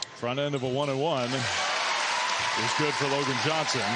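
There is crowd noise in the background. A man is speaking. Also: dry sound with no echo. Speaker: play-by-play sports commentator. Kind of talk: live sports commentary. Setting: basketball arena broadcast. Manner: crisp, steady, clipped delivery rising on big plays. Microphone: headset.

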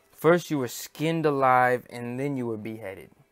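A man with an American accent speaks at a moderate pace and medium pitch with ordinary pitch variation, on a very clean recording with a silent background. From United States. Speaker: YouTube religious commentator. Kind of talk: unscripted monologue. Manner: hesitant, many fillers.

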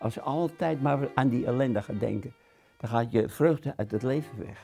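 Faint music plays behind a man speaking. He keeps a moderate pace with ordinary pitch variation. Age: 80s+. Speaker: concentration camp survivor, war witness. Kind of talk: interview answer. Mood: grave, recalling wartime horror. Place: home room. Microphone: lapel.

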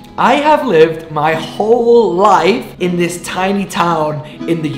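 Very slow, high-pitched speech from a man, with audible room echo and faint music in the background. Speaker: vlogger. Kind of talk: casual vlog chat. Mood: earnest, open. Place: home room.

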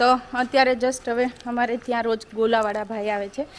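Noticeable background noise sits behind the speaker. She is a woman with a fairly high pitch. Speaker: vlogger. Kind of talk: casual vlog narration.

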